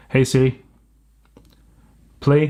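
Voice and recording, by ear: This man speaks in a medium pitch with a slightly mellow tone. His pace is fairly slow.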